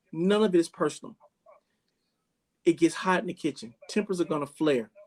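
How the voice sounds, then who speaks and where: A man speaks loudly at a moderate pace in a high pitch, with ordinary pitch variation and a dry, close sound with no echo. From Bahamas and Jamaica. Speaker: chef. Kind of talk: interview conversation. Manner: animated.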